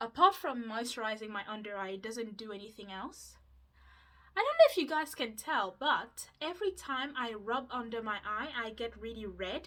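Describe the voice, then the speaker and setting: In a Mauritian accent, a woman with a bright, sharp tone and fairly high pitch talks at a moderate pace, with lively intonation and big swings in loudness. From Mauritius. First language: Mauritian Creole. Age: 20s. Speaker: YouTuber. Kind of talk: casual vlog chat.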